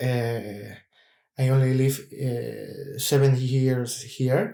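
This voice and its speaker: A man with a Spanish accent talks at a very slow pace in a medium pitch with fairly even intonation. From Cuba. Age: 30s. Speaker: opera singer. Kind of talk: casual chat. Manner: halting.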